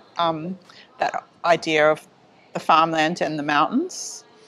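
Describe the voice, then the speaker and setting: This is a woman speaking. Her intonation stays fairly even. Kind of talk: interview answer. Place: workshop. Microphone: lapel.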